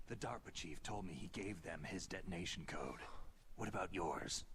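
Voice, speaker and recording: Putting on a character voice, a man speaks very deep and low at a moderate pace, his loudness very even, with clear background noise behind him. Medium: video game. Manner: terse, clipped.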